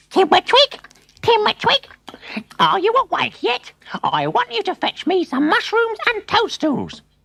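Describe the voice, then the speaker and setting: A shrill, put-on character voice at an extremely high pitch, with very wide pitch swings and a moderate pace. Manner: demanding.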